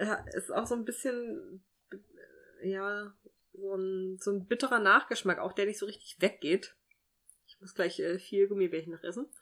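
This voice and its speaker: A woman speaks at medium pitch in a bright, sharp tone, at a moderate pace. Her loudness swings widely, and she leaves long, frequent pauses. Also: ordinary pitch variation. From Thuringia, Germany. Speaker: podcast co-host. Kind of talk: casual chat.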